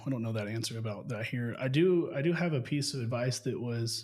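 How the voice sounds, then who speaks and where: A man talks at a fairly quick pace in a medium pitch. His voice is somewhat breathy. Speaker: real estate business owner. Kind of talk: casual interview chat. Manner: fast.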